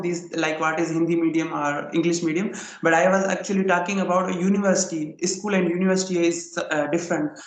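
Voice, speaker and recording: A man with a Sindhi accent talks at a fairly quick pace in a high pitch, his intonation fairly even. Room echo is audible, and background noise is noticeable. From Pakistan, Sindh. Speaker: English learner. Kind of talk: casual chat. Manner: halting.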